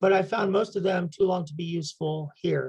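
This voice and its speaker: Her medium-pitched voice carries vocal fry as this woman talks at a moderate pace. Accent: American. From United States. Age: 70s. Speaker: meditation guide. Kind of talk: prepared talk.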